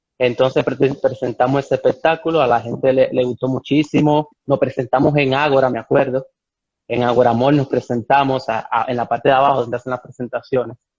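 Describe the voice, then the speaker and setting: Speaking at a fairly quick pace with a slight Cuban accent, a man keeps a monotone, flat intonation. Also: medium pitch for a man. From Cuba, Santiago de Cuba (Oriente). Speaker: ballet dancer. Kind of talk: interview. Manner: halting with repetitions.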